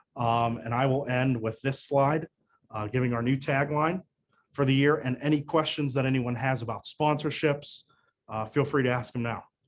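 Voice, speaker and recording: With fairly even intonation, the man's voice sits at a medium pitch. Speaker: marketing manager. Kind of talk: webinar presentation. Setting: online webinar. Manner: fast.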